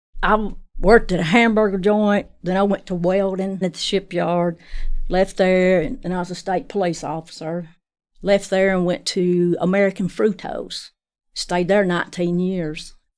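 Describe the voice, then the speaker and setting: A woman with an unremarkable speaking voice, medium in pitch, with fairly even intonation at a moderate pace, in a very clean recording with a silent background. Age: 60s. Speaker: patient, factory worker. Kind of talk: casual interview.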